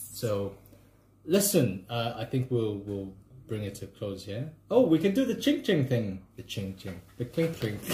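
A man's medium-pitched, somewhat breathy voice with a dark, mellow tone, very wide pitch swings, big swings in loudness, and a fairly slow pace. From Zambia (Kitwe mining town). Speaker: podcast host. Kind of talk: casual chat. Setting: outdoors walking dogs.

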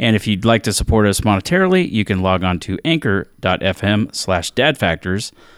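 A man with an unremarkable speaking voice, fairly low in pitch, with lively intonation and very even loudness, in a very clean recording with a silent background and a dry, close sound with no echo. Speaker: podcast host and sound editor. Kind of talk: casual chat.

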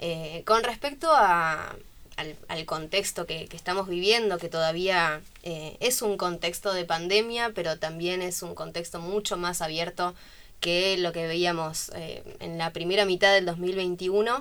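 On a very clean recording with a silent background, a woman with an unremarkable speaking voice talks at a fairly slow pace in a fairly low pitch, with ordinary pitch variation and big swings in loudness. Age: 20s. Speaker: community manager and student. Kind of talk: radio interview.

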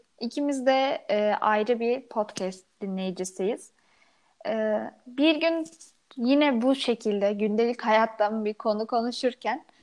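Very slow delivery with lively intonation. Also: woman. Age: 20s. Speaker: podcast co-host, university student. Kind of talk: casual chat.

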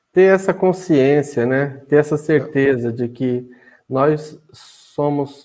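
Very slow and with ordinary pitch variation, a man speaks on a very clean recording with a silent background. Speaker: podcast host. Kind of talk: casual interview.

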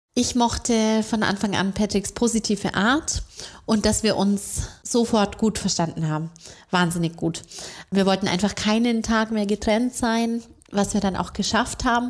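A woman speaks at a fairly high pitch and a fairly slow pace, with fairly even intonation and very even loudness. The recording is very clean, with a silent background. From Bavaria, Augsburg. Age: 30s. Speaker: bank marketing employee. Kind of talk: interview.

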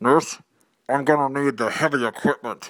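A man speaks in a put-on character voice, fairly high-pitched, on a very clean recording with a silent background.

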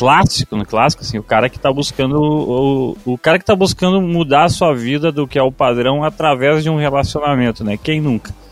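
A man with a fairly high pitch talks at a moderate pace, with hardly any pauses, an ordinary speaking voice and ordinary pitch variation. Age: 20s. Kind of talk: casual chat.

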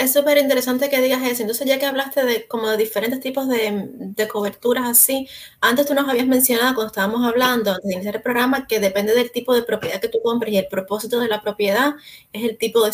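A woman rattles along very quickly in a fairly high pitch, with noticeable noise behind her. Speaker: real estate agent, podcast co-host. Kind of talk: casual chat. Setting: live stream.

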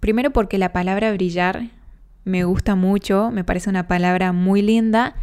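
In a normal speaking voice, a woman talks at medium pitch and a moderate pace. Her intonation is fairly even and her loudness very even. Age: 20s. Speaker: podcast host. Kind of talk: personal monologue.

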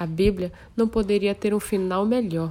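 In a plain, everyday voice, a woman speaks at a fairly slow pace with a medium pitch and ordinary pitch variation. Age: 30s. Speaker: church youth leader. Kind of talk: testimony.

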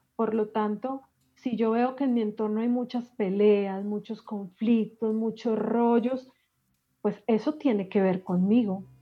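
A woman's plain, everyday voice, fairly high in pitch, with fairly even intonation at a fairly slow pace. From Colombia, Medellín. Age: 40s. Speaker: life coach and emotional healing expert. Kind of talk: podcast interview.

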